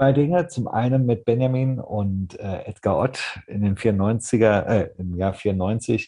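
A man speaks very slowly in a dark, mellow, somewhat breathy voice with ordinary pitch variation against a quiet background. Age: 30s. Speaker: podcast guest, hobby fan; podcast guest. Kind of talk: casual chat. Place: home room. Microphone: video call.

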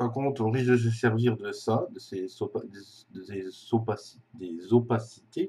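The voice has a dark, mellow tone, somewhat breathy, moving at a very slow pace with long, frequent pauses and big swings in loudness. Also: man, medium pitch for a man, ordinary pitch variation. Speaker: video tutorial maker. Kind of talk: tutorial. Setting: screen recording voiceover. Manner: hesitant, filler words.

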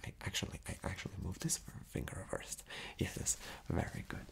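A man whispering at a fairly slow pace. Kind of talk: ASMR role-play, soft instructions. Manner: soft, close ASMR roleplay voice. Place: home room.

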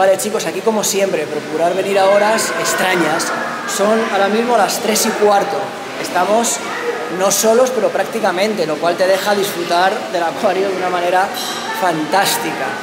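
The speaker keeps a moderate pace. Loud background noise runs underneath. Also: man. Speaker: family travel vlogger. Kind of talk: casual vlog chat. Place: hall. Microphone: phone near.

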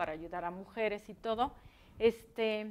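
This woman's voice sits fairly high in pitch and shows ordinary pitch variation. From Mexico. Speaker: interviewer. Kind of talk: interview. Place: studio.

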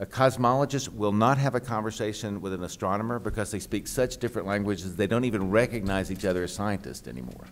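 A man with a fairly low pitch and vocal fry talks at a very fast pace with lively intonation. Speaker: architecture critic. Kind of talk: panel discussion. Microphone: podium.

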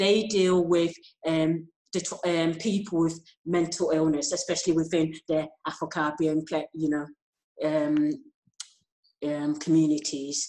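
A woman talks at a fairly slow pace with long, frequent pauses. Her dark, mellow voice stays monotone and flat. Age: 40s. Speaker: kidney patient and organ donation advocate. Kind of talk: interview. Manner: halting. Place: home room. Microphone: earbuds.

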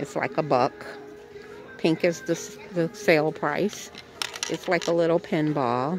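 Over music in the background, a woman speaks fairly slowly at a fairly low pitch. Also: dry sound with no echo. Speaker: thrift shopping vlogger. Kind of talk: casual vlog chat. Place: shop. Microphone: phone near.

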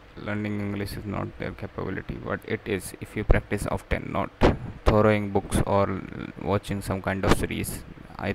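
A man talks with a dry sound and no echo while loud background noise goes on around him. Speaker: english learner vlogger. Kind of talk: casual vlog chat. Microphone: webcam.

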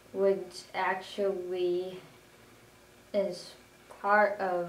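A woman's fairly low, flat, monotone voice, with audible room echo and light background noise. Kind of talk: self-introduction. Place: home room. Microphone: camera far.

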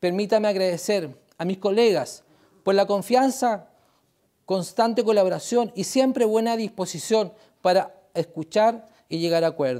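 A man's high voice with a dark, mellow tone, ordinary pitch variation and a fairly slow pace over a quiet background. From Chile, Valparaíso; Chile. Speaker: regional council president. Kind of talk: formal public address. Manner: formal. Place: meeting room. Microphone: lapel.

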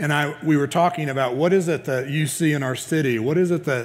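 With fairly even intonation, the man delivers his words at a fairly quick pace. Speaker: pastor. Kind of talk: sermon. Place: church. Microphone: headset.

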